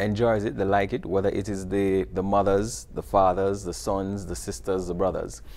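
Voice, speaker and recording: Speaking at a fairly quick pace, this man has a fairly low pitch. His accent is Jamaican. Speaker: video series producer and teacher. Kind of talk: TV interview.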